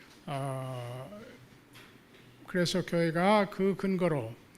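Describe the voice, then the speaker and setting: Here a man talks at a very slow pace in a fairly high pitch with ordinary pitch variation. Audible room echo surrounds the voice. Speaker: theology professor. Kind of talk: lecture. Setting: church hall with audience. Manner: halting with many fillers.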